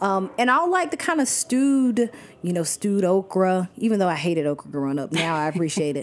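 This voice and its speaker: Speaking at a fairly quick pace with an American accent, a woman uses a medium pitch that moves in very wide swings. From US South, Athens, Georgia. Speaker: cookbook author and food writer. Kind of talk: casual interview. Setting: studio in a restaurant.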